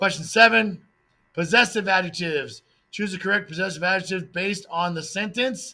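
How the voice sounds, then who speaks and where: A man speaks in a raised, projected voice, high-pitched for a man, with a bright, sharp tone and ordinary pitch variation. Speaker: Spanish teacher. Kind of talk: test review tutorial. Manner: fast.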